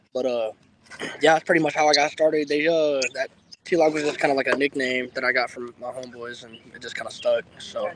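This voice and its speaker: Fairly high in pitch, a man with an American accent talks at a fairly quick pace with fairly even intonation and big swings in loudness over noticeable background noise. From Indiana, US Midwest. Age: 20s. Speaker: rapper. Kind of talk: casual interview. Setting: outdoors.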